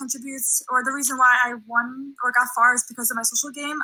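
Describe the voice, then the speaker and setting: A woman with a high voice talks in a raised, projected way at a fairly quick pace with fairly even intonation. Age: 20s. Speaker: reality game applicant. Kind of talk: casting video pitch.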